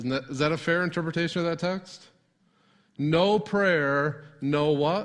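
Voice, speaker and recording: Here is a normal speaking voice with an American accent. It moves at a fairly slow pace with fairly even intonation. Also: man, fairly high pitch for a man. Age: 40s. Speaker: pastor. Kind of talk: sermon. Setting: church.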